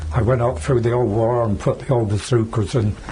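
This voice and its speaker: Noticeable background noise sits behind the voice. The pitch moves in an ordinary way at a fairly quick pace. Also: man. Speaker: war veteran. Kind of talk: interview answer.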